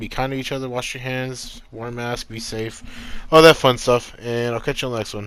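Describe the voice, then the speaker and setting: A man talks at medium pitch with fairly even intonation. Noticeable background noise is present. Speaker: YouTuber discussing TV news. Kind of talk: casual vlog monologue. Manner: fast.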